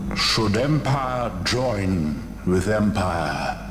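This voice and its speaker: A man's put-on character voice at a fairly low pitch, with clear background noise. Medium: game stream. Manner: slow, solemn, cryptic.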